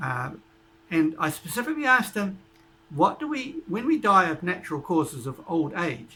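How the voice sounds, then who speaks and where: A man's high, bright and sharp voice at a moderate pace, with very wide swings in pitch. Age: 70s. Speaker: YouTuber interviewing a doctor. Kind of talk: casual narration to camera. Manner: halting, with fillers.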